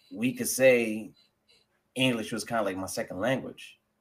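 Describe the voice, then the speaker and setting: A man with a New York accent and fairly even intonation. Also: long, frequent pauses. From New York (Jamaica, Queens; later Rockland County). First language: French. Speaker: guest. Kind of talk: casual interview chat. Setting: live stream.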